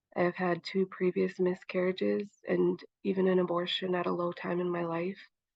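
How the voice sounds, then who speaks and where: A woman's normal speaking voice, fairly low in pitch, with fairly even intonation at a moderate pace. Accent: American. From Montana, Chippewa Cree. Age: 20s. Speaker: young mother, advocate. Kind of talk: personal testimony.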